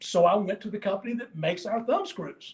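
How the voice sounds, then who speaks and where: A man with a high-pitched voice speaks at a moderate pace. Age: 70s. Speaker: company owner demonstrating products. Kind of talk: product demonstration. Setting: live video stream.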